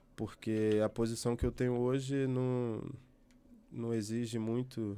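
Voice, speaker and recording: A man with a dark, mellow tone at medium pitch speaks at a fairly slow pace in a very clean recording with a silent background. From Brazil, Rio de Janeiro. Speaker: journalist. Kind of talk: interview. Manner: halting, self-correcting.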